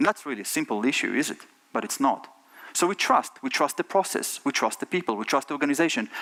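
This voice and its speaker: A man speaks with lively intonation. The sound is dry and close, with no echo. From Israel. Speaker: tech company CEO. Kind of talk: conference talk.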